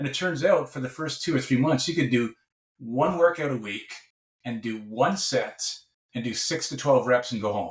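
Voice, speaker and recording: A man speaks at a moderate pace in a normal speaking voice, medium in pitch with ordinary pitch variation. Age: 60s. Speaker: professor and researcher. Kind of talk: podcast interview.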